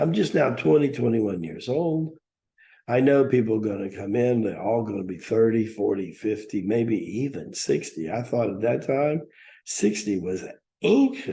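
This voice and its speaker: Somewhat breathy, with a dark, mellow tone, a man speaks at a medium pitch and a moderate pace. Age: 60s. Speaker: spiritual teacher. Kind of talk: talk.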